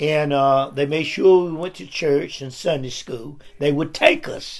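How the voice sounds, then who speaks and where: With an Appalachian accent, a man talks at a fairly slow pace in a fairly high pitch with ordinary variation, over noticeable background noise. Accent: Southern US (Appalachian North Carolina). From US South, North Carolina (Caldwell County). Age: 70s. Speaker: retired factory worker and pastor. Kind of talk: interview. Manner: halting.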